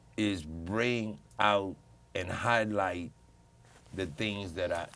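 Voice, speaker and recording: Pausing long and often, a man speaks in a fairly low pitch. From US Midwest, South Side Chicago. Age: 60s. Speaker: community panel guest. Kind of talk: casual panel discussion. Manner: halting.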